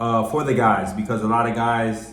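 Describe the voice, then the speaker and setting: A man with an American accent speaks at a medium pitch. Audible room echo and noticeable background noise are present. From US Midwest. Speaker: vlogger. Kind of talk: casual vlog talk to camera. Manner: animated.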